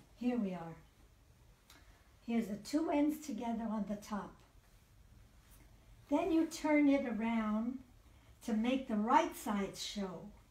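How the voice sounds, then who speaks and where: Speaking very slowly with long, frequent pauses, a woman uses a dark, mellow tone at a fairly high pitch with lively intonation, and audible room echo fills the space. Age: 80s+. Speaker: grandmother. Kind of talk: home tutorial demonstration. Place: home room. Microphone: camera far.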